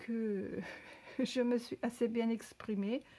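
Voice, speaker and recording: A very slow pace in a non-native accent. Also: woman. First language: not French (speaking French). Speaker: crafter. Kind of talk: tutorial. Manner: halting.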